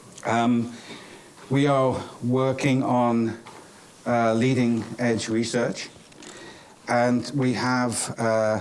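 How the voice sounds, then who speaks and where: Noticeable background noise and audible room echo surround the recording. A man talks in a monotone, flat intonation. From England, Cornwall. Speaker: professor. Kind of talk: conference closing remarks. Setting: conference stage with audience. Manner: hesitant, many fillers.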